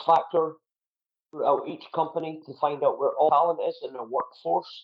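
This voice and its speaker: A man with a Scottish accent at a moderate pace. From Scotland. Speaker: keynote speaker and entertainment entrepreneur. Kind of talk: podcast interview. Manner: animated.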